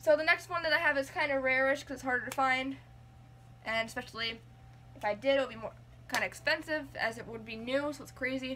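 A woman speaks in a raised, projected voice. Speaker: game collector vlogger. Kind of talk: casual vlog chat. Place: home room. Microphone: phone near.

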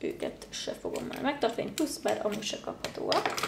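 With lively intonation and a fairly slow pace, a woman talks over light background noise and audible room echo. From Hungary. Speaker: beauty youtuber. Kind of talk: casual vlog monologue. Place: home room.

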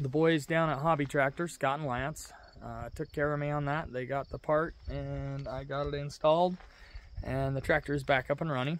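A man talks at a moderate pace in a monotone, flat delivery, the sound dry with no echo. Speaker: tractor owner. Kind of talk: casual vlog chat. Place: farm machine. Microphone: phone near.

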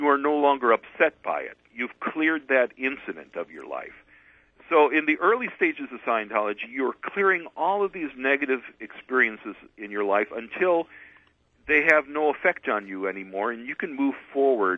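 Against a quiet background, a man speaks at a moderate pace with big swings in loudness and a dry sound with no echo. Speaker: radio guest. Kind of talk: interview answer.

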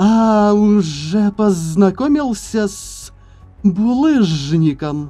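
Hissing and faint background music accompany a put-on character voice that is fairly high in pitch and delivered at a very slow pace.

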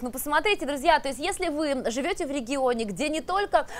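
Her high-pitched voice moves at a fairly quick pace, and this woman's intonation is lively.

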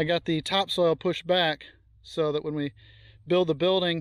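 A man speaks at a fairly quick pace in monotone, flat intonation, the sound dry with no echo and the background quiet. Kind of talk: casual vlog chat. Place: open country. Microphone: phone near.

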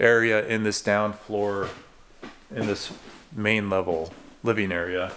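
A man speaks at a fairly slow pace, and light background noise sits behind him. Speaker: house tour host. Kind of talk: casual vlog chat. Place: empty room. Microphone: phone near.

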